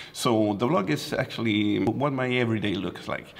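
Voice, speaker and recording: With a Swedish accent, a man speaks at medium pitch and a moderate pace against noticeable background noise. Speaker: photographer and vlogger. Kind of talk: casual vlog.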